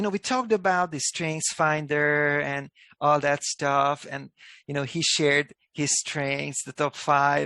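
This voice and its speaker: The voice has a Hungarian accent and a bright, sharp tone, with fairly even intonation at a fairly slow pace. The sound is dry and close, without echo. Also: man, fairly high pitch for a man. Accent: non-native English, Hungarian. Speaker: company executive. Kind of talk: video call interview. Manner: thoughtful, pauses before answering.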